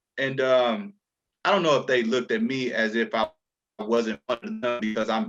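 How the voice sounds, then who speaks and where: A man at medium pitch with lively intonation, music in the background. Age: 30s. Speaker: entrepreneur in a group discussion. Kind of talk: casual chat.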